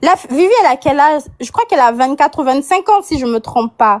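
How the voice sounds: The woman's voice is high and her intonation lively. She talks at a fairly quick pace.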